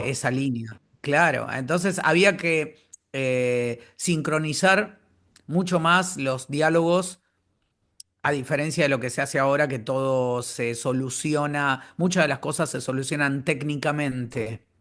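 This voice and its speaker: Against a quiet background, a man talks at a fairly slow pace. His voice is fairly high, with ordinary pitch variation. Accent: Argentine. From Argentina. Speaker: voice actor. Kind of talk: interview answer.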